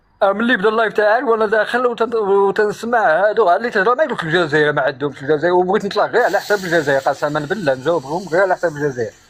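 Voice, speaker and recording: Very fast delivery with hardly any pauses and very even loudness, over noticeable background noise. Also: man, high pitch for a man, lively intonation. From Morocco, Souss region (Amazigh). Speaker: live stream guest. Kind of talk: casual chat. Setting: live stream call.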